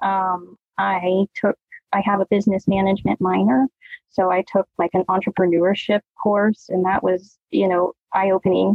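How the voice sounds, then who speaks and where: A woman with an unremarkable speaking voice, medium pitch, moderate pace, very even loudness and fairly even intonation. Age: 30s. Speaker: dance company owner and dance teacher. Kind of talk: casual interview chat.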